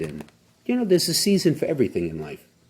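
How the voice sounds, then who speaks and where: A man speaks in a dark, mellow tone with vocal fry. His pitch swings very widely. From US Northeast. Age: 60s. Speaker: bishop. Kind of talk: casual chat.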